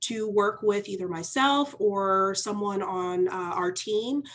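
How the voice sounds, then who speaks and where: A woman speaks loudly. Her pitch sits in the medium range. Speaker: mortgage lender representative. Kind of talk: sponsor presentation. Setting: video call.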